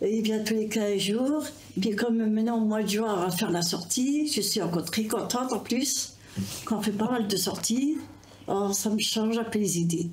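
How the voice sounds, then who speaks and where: A woman with a fairly high pitch talks with ordinary pitch variation and very even loudness. Audible room echo and noticeable background noise surround her. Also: moderate pace. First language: not French (speaking French). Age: 70s. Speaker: community centre member. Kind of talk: casual interview. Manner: halting.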